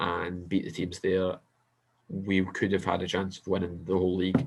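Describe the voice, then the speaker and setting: A man with a Scottish accent speaks in a very deep, low pitch. The recording is very clean, with a silent background. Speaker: football podcast co-host. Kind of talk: casual chat.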